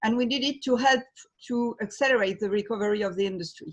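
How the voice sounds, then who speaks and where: Against a quiet background, a woman speaks with a slight French accent at a medium pitch. Her voice is somewhat breathy, with ordinary pitch variation. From France. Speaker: trade fair president. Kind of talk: webinar panel discussion. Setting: video call. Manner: halting.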